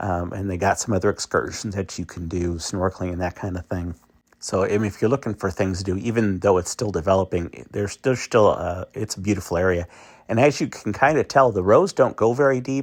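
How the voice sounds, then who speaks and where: A man's normal speaking voice, fairly low in pitch and at a fairly quick pace, with a dry, close sound, no echo, and a very clean recording over a silent background. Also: ordinary pitch variation. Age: 60s. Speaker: travel vlogger. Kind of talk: casual walking tour narration. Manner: casual with many fillers and repetitions.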